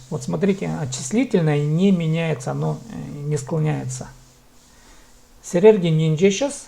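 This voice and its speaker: A man talks fairly slowly, breaking his speech with long, frequent pauses. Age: 30s. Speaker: language teacher. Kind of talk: online language lesson. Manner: slow, repetitive drilling.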